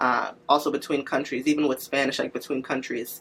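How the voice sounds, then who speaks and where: Fairly quick speech in a Nigerian accent with noticeable background noise. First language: Igbo. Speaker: medical interpreter. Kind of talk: interview testimony.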